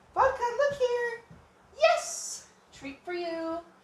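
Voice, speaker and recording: This is a put-on character voice, squeaky and extremely high in pitch. It moves at a very slow pace. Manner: praising, encouraging.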